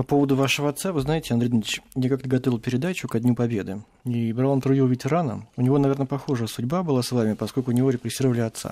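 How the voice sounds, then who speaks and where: A man with a dark, mellow tone and medium pitch speaks at a very fast pace with fairly even intonation. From Russia, Tver. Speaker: radio host. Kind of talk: interview. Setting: studio.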